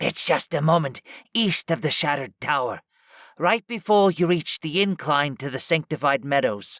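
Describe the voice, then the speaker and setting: A man puts on a character voice. It is raspy and fairly high in pitch. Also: moderate pace. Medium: read story.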